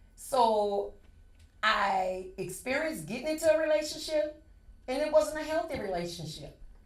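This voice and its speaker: A woman speaks at a moderate pace with very wide pitch swings, and the room echo is audible. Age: 60s. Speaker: podcast panelist. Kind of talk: casual chat.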